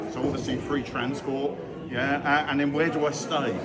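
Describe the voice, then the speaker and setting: A man at a medium pitch and moderate pace, with audible room echo and crowd noise in the background. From southern England, Brighton. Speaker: goth festival community organiser. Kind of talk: casual interview. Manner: animated.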